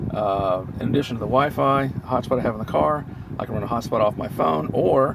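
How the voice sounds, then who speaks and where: A man talks at a fairly quick pace with lively intonation and a medium pitch. Background noise is noticeable. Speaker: car tech reviewer. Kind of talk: unscripted product review. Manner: halting, many filler words.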